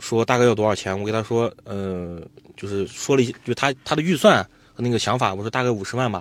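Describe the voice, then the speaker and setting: With a plain, everyday voice, a man speaks at a fairly quick pace with ordinary pitch variation in a very clean recording with a silent background. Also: medium pitch for a man. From Xinjiang, Altay. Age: 20s. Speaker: jade trader and livestream seller. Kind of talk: interview storytelling.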